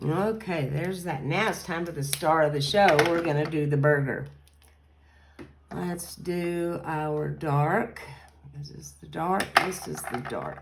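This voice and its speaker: A woman's very deep, low voice in a Kentucky accent, fairly slow, with ordinary pitch variation, big swings in loudness, audible room echo and noticeable background noise. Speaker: card-making crafter. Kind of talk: crafting tutorial. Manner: casual, chatty.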